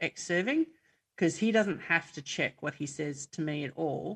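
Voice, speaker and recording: A woman talks with an Australian accent and fairly even intonation. Her sound is dry and close, without echo. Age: 50s. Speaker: army reservist and emergency volunteer. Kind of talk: casual interview. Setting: video call.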